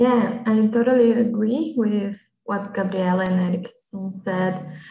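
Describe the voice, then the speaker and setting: With a Portuguese accent, a woman speaks at a very slow pace, her fairly high pitch carried by fairly even intonation. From Brazil. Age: 20s. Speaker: lab analyst. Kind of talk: casual conversation practice. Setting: video call.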